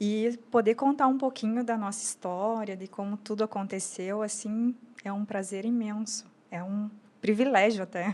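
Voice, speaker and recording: A woman's fairly high voice at a moderate pace, with fairly even intonation, on a very clean recording with a silent background. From Brazil, Rio Grande do Sul border (São Borja). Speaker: entrepreneur, lingerie brand founder. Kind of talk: podcast interview.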